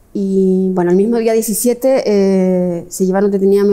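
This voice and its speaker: A woman's dark, mellow tone at a fairly slow pace with fairly even intonation. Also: quiet background. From Chile. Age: 50s. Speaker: history professor. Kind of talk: interview. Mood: reflective, earnest. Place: hall.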